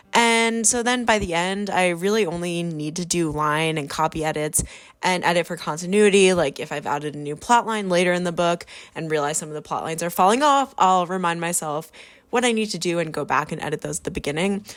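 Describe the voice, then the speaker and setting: The recording is very clean with a silent background, and a woman speaks at a fairly quick pace. Her pitch is fairly low, with ordinary pitch variation. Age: 20s. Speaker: novelist vlogger. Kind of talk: casual vlog narration. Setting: coffee shop.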